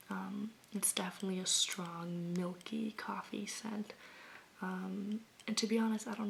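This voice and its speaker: Soft-spoken, gentle, relaxed delivery at a moderate pace with monotone, flat intonation and noticeable background noise. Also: woman. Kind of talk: ASMR soft-spoken talk to camera about candles.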